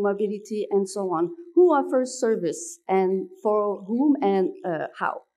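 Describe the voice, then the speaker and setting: The woman's voice has a dark, mellow tone and a French accent. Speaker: researcher. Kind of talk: conference presentation. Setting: conference at city hall.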